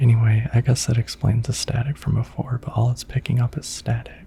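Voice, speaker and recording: Soft-spoken and at a medium pitch, a man talks at a moderate pace in a monotone, flat intonation. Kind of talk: relaxing gaming commentary for sleep.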